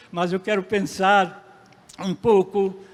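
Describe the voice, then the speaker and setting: A man with a high-pitched voice. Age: 80s+. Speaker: pastor. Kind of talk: sermon.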